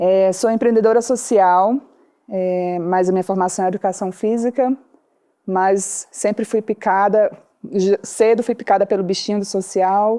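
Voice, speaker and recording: Speaking with a Ceará accent, a woman talks at a fairly slow pace at medium pitch, her dark, mellow tone and fairly even intonation heard dry and close with no echo against a quiet background. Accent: drawn-out Ceará. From Brazil, Ceará interior. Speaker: social entrepreneur. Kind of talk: podcast interview.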